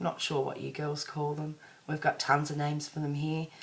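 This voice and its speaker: This woman speaks in an Australian accent with a very deep, low pitch and a flat, monotone delivery. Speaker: vlogger. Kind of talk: personal video diary. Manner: casual, rambling.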